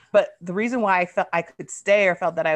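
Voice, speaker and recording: Against a quiet background, a woman talks in an ordinary speaking voice at a fairly quick pace with ordinary pitch variation. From US East Coast, military family, moved often. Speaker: writer and recovery podcaster. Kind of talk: casual interview.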